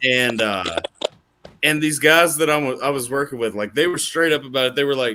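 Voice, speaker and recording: With an American accent, a man speaks at a moderate pace, his fairly high pitch showing ordinary variation. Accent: slight Southern, stronger when excited. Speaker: streamer. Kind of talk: casual chat.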